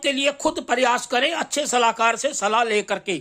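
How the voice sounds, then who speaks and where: The voice is raised and projected, with a bright, sharp tone and ordinary pitch variation. The recording is very clean with a silent background. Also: man. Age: 60s. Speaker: astrologer and journalist. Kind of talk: monologue. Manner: halting, with fillers.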